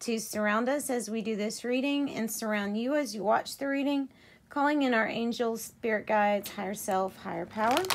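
The voice moves at a moderate pace with ordinary pitch variation over light background noise. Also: woman. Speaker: tarot reader. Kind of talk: tarot reading narration. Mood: calm, gentle. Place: home room. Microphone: phone near.

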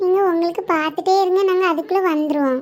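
In a cartoonish character voice, a woman talks at a moderate pace with an extremely high pitch and fairly even intonation. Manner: soft, shy.

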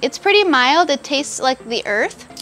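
A woman with a high pitch speaks over faint background music. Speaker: tomato tasting host. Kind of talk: casual tasting presentation. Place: farm.

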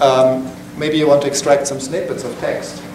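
Over noticeable background noise and audible room echo, a man talks at a fairly slow pace. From Switzerland. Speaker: software developer, meetup presenter. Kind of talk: technical lecture. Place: meeting room. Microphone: camera far.

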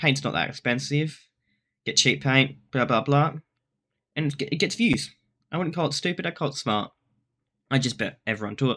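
Bright and sharp in tone, a man with a fairly high pitch and ordinary pitch variation talks at a fairly quick pace broken by long, frequent pauses. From Australia. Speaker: content creator. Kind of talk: reaction video. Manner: fast; animated. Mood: relaxed, mildly defensive. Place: home room. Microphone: webcam.

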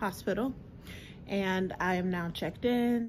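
There is noticeable background noise as a somewhat breathy woman speaks with ordinary pitch variation. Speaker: expectant mother vlogger. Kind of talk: casual vlog chat. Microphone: phone near.

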